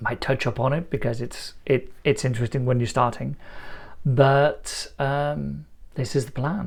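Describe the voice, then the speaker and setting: Somewhat breathy and at a medium pitch, a man speaks at a fairly slow pace with fairly even intonation. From Iceland, partly raised in Lancashire. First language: Icelandic. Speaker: YouTuber. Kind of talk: casual monologue to camera. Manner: halting, many fillers.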